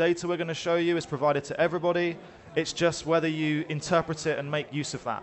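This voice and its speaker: Over light background noise, the speech runs very fast with monotone, flat intonation. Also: man. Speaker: conference speaker, head of customer success. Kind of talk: business presentation. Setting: stage. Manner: fast talker. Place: hall.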